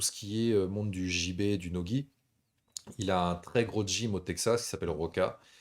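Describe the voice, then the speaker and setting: In a very clean recording with a silent background, a man speaks fairly slowly at a fairly low pitch with fairly even intonation. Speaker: MMA show host. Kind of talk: live stream chat. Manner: relaxed, smooth.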